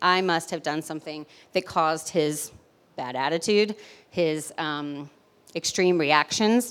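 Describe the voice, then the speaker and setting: A very deep, low female voice with ordinary pitch variation, a fairly slow pace and long, frequent pauses, on a very clean recording with a silent background. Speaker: marketing agency owner and coach. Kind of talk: class talk. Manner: animated.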